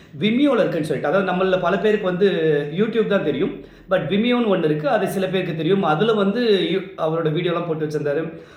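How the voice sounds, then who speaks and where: A man's high-pitched voice, with ordinary pitch variation, carries over noticeable background noise. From Chennai, Tamil Nadu. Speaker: event emcee. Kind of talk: tribute talk to camera. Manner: sombre.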